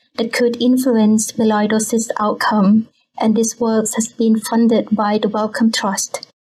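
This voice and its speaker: A woman with a Thai accent speaks fairly slowly at a fairly high pitch. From Bangkok, Thailand. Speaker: scientist. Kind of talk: casual interview.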